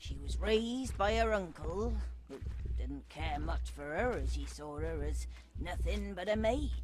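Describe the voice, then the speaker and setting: Someone speaks in a put-on character voice at a moderate pace, with clear background noise behind them. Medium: video game. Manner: scolding, condescending.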